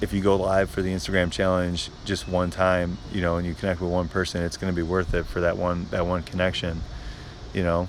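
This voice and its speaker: This quiet voice belongs to a man with a very deep, low pitch. His intonation is monotone and flat. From Chicago suburbs. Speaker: social media creator. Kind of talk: live stream Q&A. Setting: outdoors. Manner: halting.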